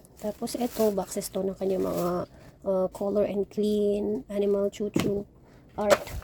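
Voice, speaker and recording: A woman with a medium pitch talks at a fairly slow pace in a flat, monotone way over noticeable background noise. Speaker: mom vlogger. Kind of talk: vlog narration. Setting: at home. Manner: soft-spoken.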